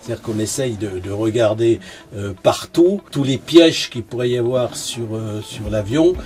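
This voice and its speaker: A man talks fairly slowly. Background music accompanies his speech. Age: 70s. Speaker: retired test pilot. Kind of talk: interview. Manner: hesitant, many fillers and repetitions.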